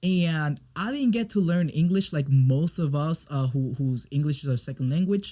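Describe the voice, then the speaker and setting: Recorded very cleanly against a silent background, a man with a fairly high pitch and a dark, mellow, somewhat breathy tone talks with hardly any pauses. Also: ordinary pitch variation, moderate pace. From Puerto Rico. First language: Spanish. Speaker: business coach and brand expert. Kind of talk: interview conversation. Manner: halting, frequent repetitions.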